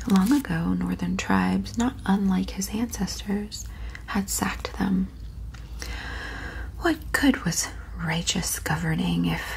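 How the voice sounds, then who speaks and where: A soft-spoken woman talks at a very slow pace. Noticeable background noise runs underneath. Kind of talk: audiobook-style reading of a novel, ASMR. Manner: soft-spoken, relaxing.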